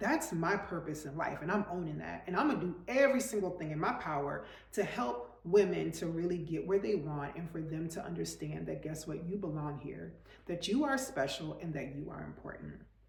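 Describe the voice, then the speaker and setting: A woman with a fairly low pitch speaks at a fairly quick pace, animated and with lively intonation. Audible room echo and noticeable background noise fill the recording. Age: 40s. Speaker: lifestyle coach / vlogger. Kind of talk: motivational talk to camera.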